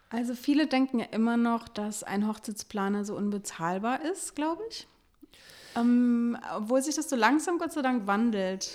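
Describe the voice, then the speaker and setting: A woman with a high pitch and lively intonation. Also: moderate pace. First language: French and German (bilingual) (speaking German). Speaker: wedding planner and podcast co-host. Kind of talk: casual interview.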